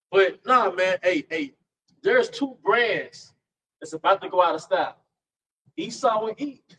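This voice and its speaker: A man with a high, bright, sharp tone speaks in an animated way at a fairly slow pace, with lively intonation and big swings in loudness. Long, frequent pauses break it up, and the sound is dry and close with no echo. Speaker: street preacher. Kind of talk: group religious discussion.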